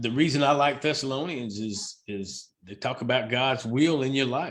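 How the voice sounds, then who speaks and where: The voice is an ordinary speaking voice, moving at a moderate pace with ordinary pitch variation. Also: man. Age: 60s. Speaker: baseball umpire. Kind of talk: casual chat.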